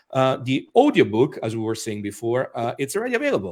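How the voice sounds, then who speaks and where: The man's voice is pitched in the middle range. He rattles along at a very fast pace. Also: very clean recording, silent background. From Italy, Rome. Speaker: author and magician. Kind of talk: interview. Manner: hesitant, many fillers.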